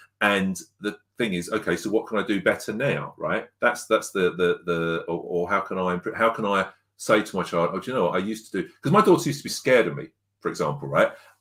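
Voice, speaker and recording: A man with an English accent talks at a very fast pace. The recording is very clean, with a silent background. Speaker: parenting coach. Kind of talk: podcast interview. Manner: loud.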